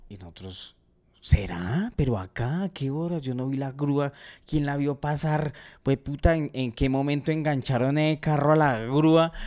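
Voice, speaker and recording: A man's fairly high voice at a fairly slow pace, ordinary pitch variation and big swings in loudness against a quiet background. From Colombia. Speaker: comedy podcast host. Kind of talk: casual chat. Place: home room. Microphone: studio mic.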